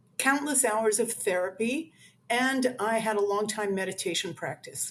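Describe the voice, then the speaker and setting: A woman's ordinary speaking voice, fairly high in pitch, at a fairly slow pace with ordinary pitch variation. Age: 60s. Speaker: author. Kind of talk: interview. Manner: conversational with many fillers.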